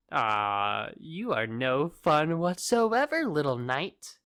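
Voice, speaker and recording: A put-on character voice at a middle pitch, delivered at a very slow pace. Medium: audio drama. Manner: taunting, theatrical, smug.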